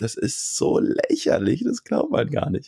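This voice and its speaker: A man with a dark, mellow tone speaks at a fairly slow pace in a dry, close sound with no echo. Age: 30s. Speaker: cameraman and video editor. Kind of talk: casual interview. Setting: remote call.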